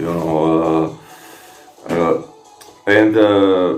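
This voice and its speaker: Amid audible room echo and noticeable background noise, a man with a Croatian accent speaks with ordinary pitch variation. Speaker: fitness vlogger. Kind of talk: casual monologue replying to comments. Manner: halting, many fillers and repetitions.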